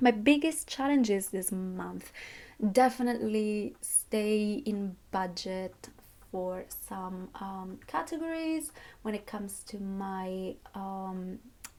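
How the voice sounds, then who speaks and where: At a very slow pace, a woman with a medium pitch speaks with lively intonation and big swings in loudness. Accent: non-native. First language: not English. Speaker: budgeting vlogger, university student. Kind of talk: casual monthly budget reflection vlog. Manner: hesitant, with fillers and self-corrections.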